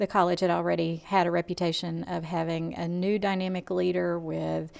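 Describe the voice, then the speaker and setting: A woman with a Southern US accent at a fairly low pitch and moderate pace. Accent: Southern American. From US South, Georgia (Lawrenceville). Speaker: college administrator. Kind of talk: interview.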